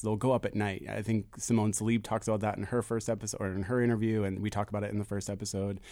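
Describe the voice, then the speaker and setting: A man with an American accent, fairly low pitch, very fast pace and monotone, flat intonation. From Philadelphia (Fishtown). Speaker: blogger and podcast host on public art. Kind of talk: radio interview. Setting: studio.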